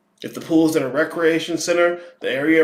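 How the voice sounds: A man at a fairly high pitch, fairly quick pace and fairly even intonation, with audible room echo.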